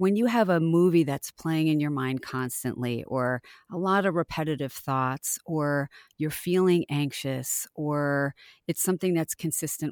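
Very deep and low in pitch, a woman speaks with ordinary pitch variation. The sound is dry and close with no echo, on a very clean recording with a silent background. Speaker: health psychologist. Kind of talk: interview.

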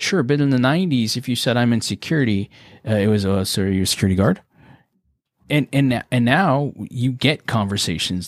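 At a moderate pace, a man talks in an ordinary speaking voice of medium pitch with lively intonation, the sound dry and close with no echo. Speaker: business coach. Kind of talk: casual chat. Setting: video call.

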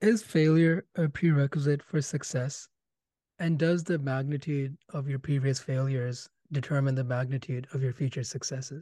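At a moderate pace, a man speaks with fairly high pitch, fairly even intonation, a somewhat breathy quality and a dark, mellow tone. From India. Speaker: podcast host, medical background. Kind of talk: interview.

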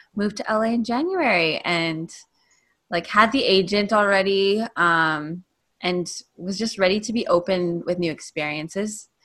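At a moderate pace, an unremarkable speaking voice moves with ordinary pitch variation against a quiet background. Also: woman. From Canada (Calgary). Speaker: dancer and performer. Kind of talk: casual interview chat.

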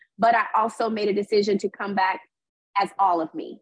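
The voice is somewhat breathy, moving at a moderate pace, with a dry, close sound with no echo. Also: woman. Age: 40s. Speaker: reality TV personality and author. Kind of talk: casual interview.

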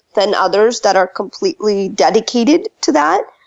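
With an ordinary speaking voice, a woman talks at a moderate pace and fairly high pitch, her intonation lively. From Texas (Dallas), moved from India at nine. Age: 30s. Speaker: entrepreneur and author. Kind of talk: interview.

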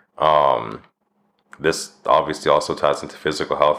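A man talks at a moderate pace with a Canadian accent. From Canada (Winnipeg and Medicine Hat). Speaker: podcast host. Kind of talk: solo monologue podcast.

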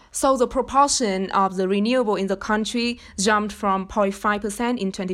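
Speaking at a moderate pace, a woman with a Vietnamese accent uses a medium pitch with ordinary pitch variation. The recording is very clean, with a silent background. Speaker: university student and research intern. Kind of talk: podcast interview.

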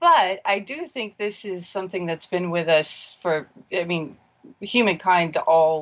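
A woman with an American accent and a plain, everyday voice, at medium pitch with ordinary pitch variation. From US Pacific Northwest. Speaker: caller. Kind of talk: phone-in call.

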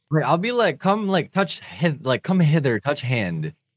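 There is vocal fry in this man's voice as he speaks at a moderate pace. The sound is dry and close, with no echo. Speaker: podcast host. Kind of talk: casual chat.

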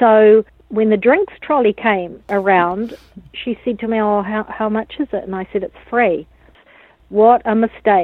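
A woman with a New Zealand accent talks at a fairly slow pace in a fairly high pitch. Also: fairly even intonation. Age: 40s. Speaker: dance academy founder. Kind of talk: interview.

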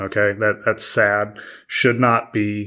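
The voice belongs to a man. Nothing can be heard behind him on this very clean recording with a silent background. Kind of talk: angry rant. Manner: exasperated, emphatic, scornful.

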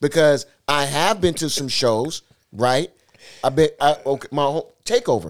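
Here a man with an American accent has an unremarkable speaking voice and a fairly high pitch. He talks at a moderate pace with lively intonation. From Seattle. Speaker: DJ. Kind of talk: casual chat.

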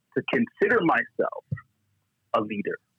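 Someone with a Toronto accent talks at a moderate pace. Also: man. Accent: Canadian English (Toronto). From Scarborough, Toronto, Canada. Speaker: pastor and church leader. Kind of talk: interview.

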